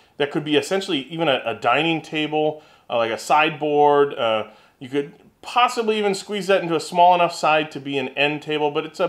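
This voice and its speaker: Behind him, the background stays quiet. The man speaks fairly quickly. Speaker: woodworking channel host. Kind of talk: casual vlog chat. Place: workshop.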